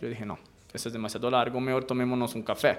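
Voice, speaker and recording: Noticeable background noise sits behind a man talking at a very fast pace. He has a medium pitch and an Italian accent. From Italy, island of Elba. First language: Italian (speaking Spanish). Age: 30s. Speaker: university researcher, philosopher. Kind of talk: radio interview.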